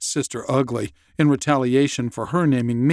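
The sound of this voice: An unforced reading voice. The intonation stays fairly even.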